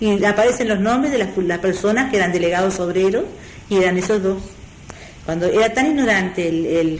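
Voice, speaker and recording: Amid noticeable background noise and audible room echo, a woman with a medium pitch talks at a fairly quick pace with lively intonation. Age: 60s. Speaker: retired textile worker and union member. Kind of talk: oral history interview. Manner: halting.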